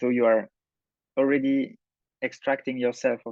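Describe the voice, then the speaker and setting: A man with a French accent, fairly quick and monotone, with flat intonation. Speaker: cinematographer and film director. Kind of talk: masterclass talk. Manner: halting, many fillers and restarts.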